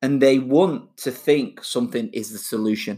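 On a very clean recording with a silent background, a man with a Mancunian accent speaks at medium pitch. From Manchester, England. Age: 30s. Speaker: personal trainer podcaster. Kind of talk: solo podcast monologue. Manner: casual, laughing.

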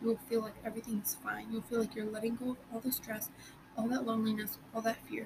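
Noticeable background noise sits behind a woman talking very fast with monotone, flat intonation. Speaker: podcast host. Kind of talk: solo advice talk. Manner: casual, with fillers.

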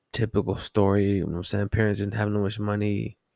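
Someone with an American accent speaks at a fairly quick pace with ordinary pitch variation, recorded very cleanly with a silent background and a dry, close sound with no echo. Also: man. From Southern California, Los Angeles. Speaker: podcaster sharing life story. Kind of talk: casual personal storytelling monologue.

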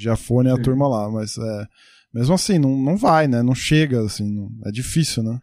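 A man speaks at moderate pace in a dark, mellow tone. His medium pitch varies in an ordinary way. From Brazil, Santo André (ABC Paulista). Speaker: podcast host. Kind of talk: interview. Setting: video call.

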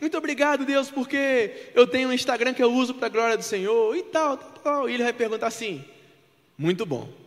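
At a fairly quick pace, the voice shows ordinary pitch variation and big swings in loudness. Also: man, extremely high pitch for a man. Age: 20s. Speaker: preacher. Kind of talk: sermon.

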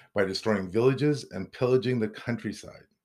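An unremarkable speaking voice from a man, fairly low in pitch, with lively intonation, in a very clean recording with a silent background. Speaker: podcast host. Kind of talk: casual banter between co-hosts.

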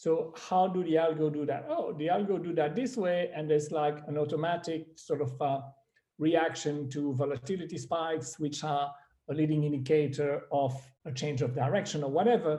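This man's voice is fairly high in pitch, with a dark, mellow tone. He talks at a moderate pace with ordinary pitch variation. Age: 50s. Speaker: investor and business chairman. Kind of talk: interview. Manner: hesitant, many fillers.

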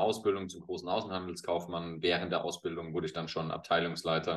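At a fairly quick pace, a man speaks in a normal speaking voice with ordinary pitch variation. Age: 40s. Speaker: former pro footballer and football pundit. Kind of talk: casual interview.

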